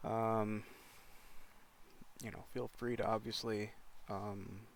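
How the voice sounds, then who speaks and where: Speaking at a very slow pace, a man holds a monotone, flat intonation at a fairly low pitch. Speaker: live streamer. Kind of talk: casual livestream talk. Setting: in a car. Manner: halting.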